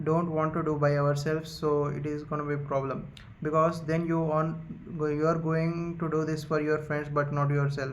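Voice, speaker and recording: Audible room echo follows a man with a fairly high pitch who speaks at a moderate pace with monotone, flat intonation. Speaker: YouTuber, book summary creator. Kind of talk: casual monologue, book summary. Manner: halting, many fillers.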